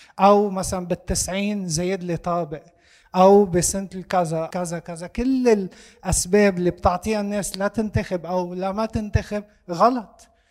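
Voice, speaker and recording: Talking at a fairly slow pace, a man with a Lebanese accent has a high pitch. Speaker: audience member asking a question. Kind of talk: discussion question.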